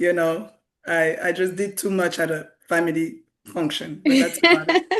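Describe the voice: A woman puts on a hoarse character voice with a fairly low pitch. She keeps a moderate pace.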